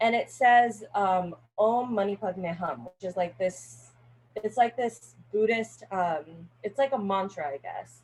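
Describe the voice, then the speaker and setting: A woman with a Californian accent at a fairly slow pace. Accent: Californian American English. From Northern California. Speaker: college student. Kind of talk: class speech. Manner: casual, filler-heavy.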